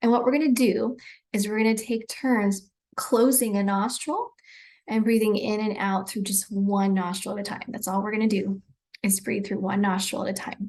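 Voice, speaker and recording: Here a woman uses a normal speaking voice at a moderate pace. Her fairly high pitch carries fairly even intonation. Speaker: breathwork and self-care guide. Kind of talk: guided breathwork instruction. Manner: calm, relaxed.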